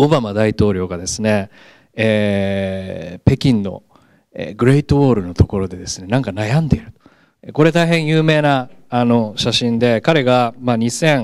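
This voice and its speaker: Speaking at a fairly slow pace with lively intonation and big swings in loudness, the voice sounds dry and echo-free against a quiet background. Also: man, medium pitch for a man. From Japan, Gunma. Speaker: professor. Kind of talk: lecture. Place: classroom. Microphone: handheld.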